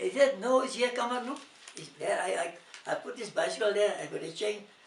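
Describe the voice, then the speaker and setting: Over noticeable background noise, a man with an extremely high-pitched voice speaks at a moderate pace with lively intonation. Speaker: grandfather interviewed about his life. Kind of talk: interview answer.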